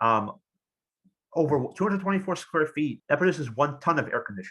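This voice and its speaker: The voice has a bright, sharp tone and lively intonation. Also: man, fairly high pitch for a man. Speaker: engineer and green technology expert. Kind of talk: lecture. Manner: fast; halting, many fillers.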